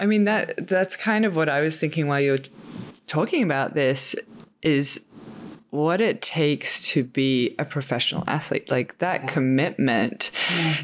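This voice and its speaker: The speaker has an Australian accent and lively intonation. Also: woman, very deep, low pitch for a woman, moderate pace. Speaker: podcast host. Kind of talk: casual interview conversation.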